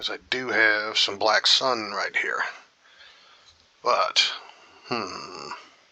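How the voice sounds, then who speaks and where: A man with an American accent speaks at a very slow pace with long, frequent pauses amid noticeable background noise. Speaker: gaming youtuber. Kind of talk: let's play commentary. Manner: casual, halting with fillers.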